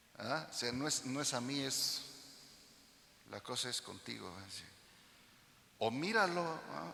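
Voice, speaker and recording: The bright, sharp voice has vocal fry, very wide pitch swings, a fairly slow pace and long, frequent pauses, with audible room echo around it. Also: man, medium pitch for a man. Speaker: pastor. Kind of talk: sermon. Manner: loud; animated.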